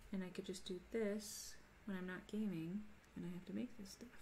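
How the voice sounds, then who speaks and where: A woman at medium pitch and moderate pace, with noticeable background noise and audible room echo. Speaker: leather crafter streamer. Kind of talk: live stream crafting chat. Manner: mumbly when focused.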